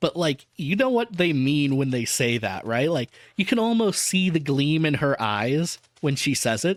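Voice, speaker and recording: Pitched fairly high, a man with an American accent talks at a moderate pace with very wide pitch swings but very even loudness. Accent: Southern US accent, slipping in. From US South. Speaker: VTuber reading an audiobook. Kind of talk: reading aloud with casual commentary.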